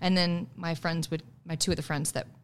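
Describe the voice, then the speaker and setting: A woman's very deep, low voice at a moderate pace, with a Midwestern American accent. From US Midwest. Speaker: singer and stage actor. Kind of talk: casual chat. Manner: animated.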